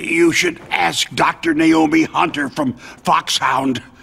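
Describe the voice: Speaking slowly in a put-on character voice, a man uses a fairly high pitch and a fairly bright tone with vocal fry and fairly even intonation.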